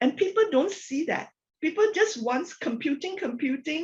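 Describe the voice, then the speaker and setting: Very wide pitch swings mark this fairly slow delivery in a Malaysian accent. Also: woman. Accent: Malaysian, non-native sentence construction. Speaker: corporate technology executive. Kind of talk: podcast interview.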